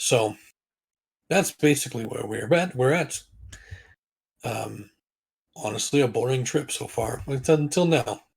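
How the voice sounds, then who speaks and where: A put-on character voice from a man, raspy and medium-pitched, fairly slow, with long, frequent pauses. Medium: actual play. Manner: blunt, dry.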